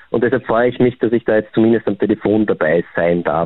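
Talking very fast, a man keeps to a fairly low pitch with ordinary pitch variation. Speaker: psychotherapist. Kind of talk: phone interview. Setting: phone call.

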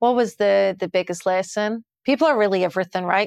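Fairly quick speech in a Glasgow accent, very clean recording with a silent background, dry and close with no echo. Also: woman. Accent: Scottish (Glasgow). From Scotland, Glasgow. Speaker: chief marketing officer. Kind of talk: interview.

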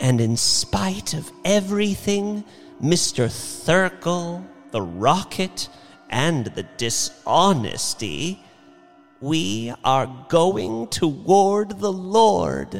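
A man puts on a character voice, pitched high for a man, with vocal fry and big pitch swings. He goes at a very slow pace while faint music plays in the background.

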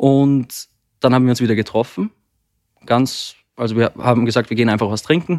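A man with an Austrian accent speaks at a fairly quick pace and medium pitch, on a very clean recording with a silent background. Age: 20s. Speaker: therapy podcast guest. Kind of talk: personal conversation about relationship. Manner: halting.

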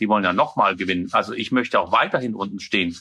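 A man's bright, sharp voice at a very fast pace over a quiet background. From Denmark. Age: 40s. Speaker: mayor. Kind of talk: interview.

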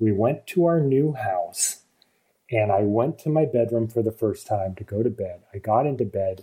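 A man with an American accent uses a normal speaking voice at medium pitch, speaking at a fairly slow pace with ordinary pitch variation. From Vermont, US. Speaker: film director. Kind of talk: casual chat.

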